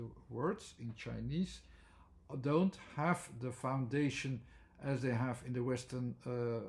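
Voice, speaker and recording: Speaking at a very slow pace, a man sounds somewhat breathy, with ordinary pitch variation. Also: medium pitch for a man. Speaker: language theory educator. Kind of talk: lecture. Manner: halting, many fillers.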